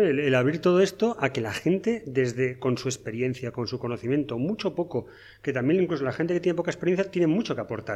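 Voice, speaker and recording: Talking fairly quickly, a man with a fairly high pitch makes very wide pitch swings. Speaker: podcast co-host. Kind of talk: casual chat.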